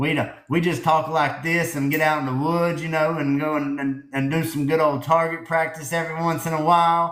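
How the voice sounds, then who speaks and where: Audible room echo surrounds a man who talks at a fairly quick pace with a fairly high pitch and monotone, flat intonation. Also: hardly any pauses. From US South. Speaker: livestream host. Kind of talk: casual chat.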